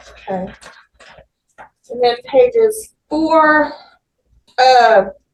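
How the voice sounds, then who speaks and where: A woman speaks loudly and very slowly, her high voice swinging very widely in pitch. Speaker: defense attorney. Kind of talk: courtroom examination.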